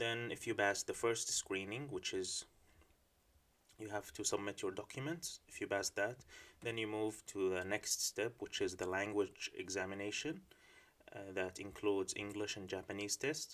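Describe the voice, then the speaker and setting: With ordinary pitch variation, this man talks in a fairly low voice at a moderate speed. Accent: Arabic. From Syria. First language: Arabic. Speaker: PhD student. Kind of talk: informational talk. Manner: hesitant with filler words.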